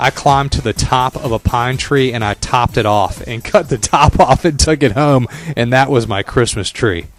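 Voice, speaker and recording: Medium-pitched male speech at a moderate pace with hardly any pauses and ordinary pitch variation, over music in the background. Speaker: radio personality. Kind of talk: radio show hosting.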